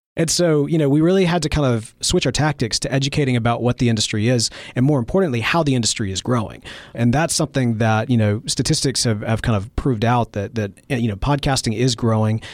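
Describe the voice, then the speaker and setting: At a very fast pace, a man with a medium pitch keeps his loudness very even. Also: ordinary pitch variation, very clean recording, silent background. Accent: slight Mississippi. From Mississippi. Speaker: podcast founder and show host. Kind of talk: interview conversation.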